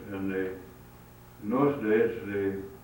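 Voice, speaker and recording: Over noticeable background noise, a man with a Midwestern American accent speaks fairly slowly in a fairly low voice. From Hinsdale, Illinois. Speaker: photographer and former newspaper publisher. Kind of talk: oral history interview answer.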